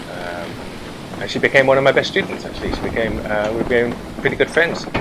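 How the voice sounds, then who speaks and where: A man's medium-pitched voice at a very fast pace with lively intonation, over noticeable background noise. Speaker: game streamer. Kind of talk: casual chat.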